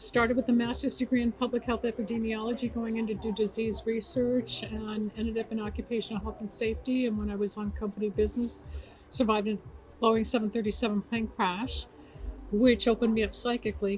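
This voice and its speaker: A woman speaks very fast in a fairly high pitch, her intonation monotone and flat. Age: 70s. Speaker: metaphysician and radio talk show host. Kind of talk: interview. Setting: awards event carpet interview.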